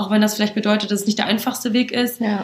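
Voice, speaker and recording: A woman talks at a very fast pace in a fairly high pitch. Her intonation is monotone and flat, with noticeable background noise behind her. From western Germany, Aachen. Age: 20s. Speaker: recruitment marketing employee. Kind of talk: interview. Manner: hesitant with many fillers.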